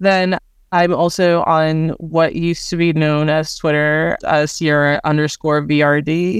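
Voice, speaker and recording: In an American accent, a woman talks fairly slowly with a very deep, low voice, flat monotone delivery and very even loudness. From New Jersey. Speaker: museum nonprofit deputy director. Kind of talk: podcast interview.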